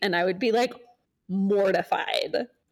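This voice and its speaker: In an American accent, a woman with a plain, everyday voice speaks at a fairly high pitch with lively intonation. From United States. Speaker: podcast host. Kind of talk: casual chat.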